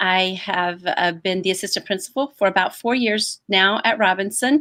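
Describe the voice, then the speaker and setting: A woman speaks with a slight Southern US accent. Her tone is bright and sharp. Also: medium pitch for a woman, ordinary pitch variation, moderate pace. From US South. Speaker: assistant principal. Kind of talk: orientation presentation. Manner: hesitant, many fillers.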